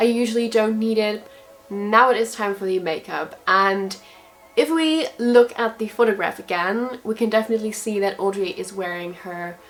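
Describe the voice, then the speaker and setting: Against noticeable background noise, a woman with a German accent speaks at a moderate pace and a fairly high pitch, with ordinary pitch variation. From Germany. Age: 20s. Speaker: beauty vlogger. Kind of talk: tutorial. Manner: casual, chatty.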